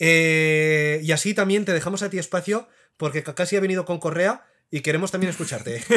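Talking at a fairly quick clip, this man has a high pitch, a bright, sharp tone and ordinary pitch variation. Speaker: anime YouTuber. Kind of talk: casual chat.

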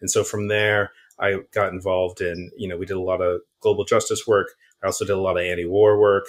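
A man speaks very fast at a fairly low pitch in a flat monotone. The background is quiet. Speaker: climate organizer. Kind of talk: interview.

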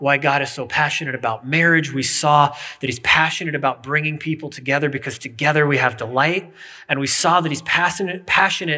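This man's tone is bright and sharp, his intonation fairly even. He talks at a fairly quick pace against a quiet background. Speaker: pastor. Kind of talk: sermon. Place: church.

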